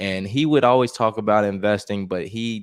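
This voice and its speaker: An unremarkable speaking voice from a man with an American accent, fairly low in pitch and fairly even in intonation, at a moderate pace, with a dry, close sound with no echo and a very clean recording with a silent background. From Chicago, US. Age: 30s. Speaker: investing YouTuber. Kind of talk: casual interview.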